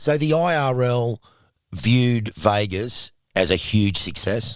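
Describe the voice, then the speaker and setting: A man speaks very slowly with an Australian accent and lively intonation. The recording is very clean, with a silent background. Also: medium pitch for a man. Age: 60s. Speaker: podcast host. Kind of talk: casual interview.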